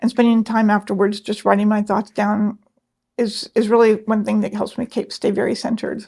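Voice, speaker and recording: Somewhat breathy, a woman talks at a fairly quick pace and fairly high pitch in a monotone, flat intonation. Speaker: design business owner and labyrinth facilitator. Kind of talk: interview. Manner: clear articulate speech despite deafness.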